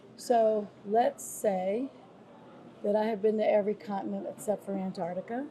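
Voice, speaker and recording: Speech moves at a moderate pace with fairly even intonation and long, frequent pauses. Background noise is noticeable. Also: woman, medium pitch for a woman. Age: 60s. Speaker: former police commissioner and nonprofit leader. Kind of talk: interview. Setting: on location in Salvador, Brazil.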